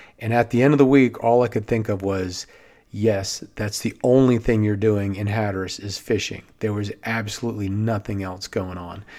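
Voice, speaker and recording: Dark and mellow in tone, a man's fairly low voice moves at a moderate pace with fairly even intonation. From Maryland (Silver Spring, near Washington DC). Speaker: podcast host, watersports business owner. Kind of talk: solo podcast monologue.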